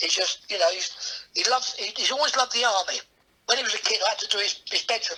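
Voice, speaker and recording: A man with an English accent talks at a very fast pace. His pitch is extremely high. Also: ordinary pitch variation. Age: 60s. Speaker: comedian. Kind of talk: casual chat. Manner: halting.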